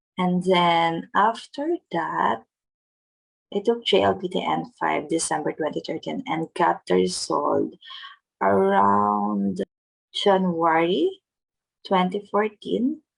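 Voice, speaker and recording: With a Filipino accent, a woman speaks at a very slow pace with long, frequent pauses, in a dry, close sound with no echo. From Philippines. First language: Filipino language. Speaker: vlogger. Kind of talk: tutorial. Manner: careful non-fluent English.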